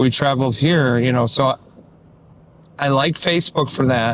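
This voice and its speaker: A man with an American accent talks at a moderate pace in a plain, everyday voice. His pitch is medium and his intonation fairly even. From Detroit. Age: 60s. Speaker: musician. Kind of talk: casual vlog talk to camera. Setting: in a car.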